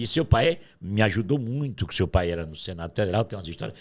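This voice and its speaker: This man's voice is somewhat breathy, with very wide pitch swings. He speaks at a fairly quick pace. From Paraíba, Brazil (Patos, sertão). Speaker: journalist. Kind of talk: interview storytelling.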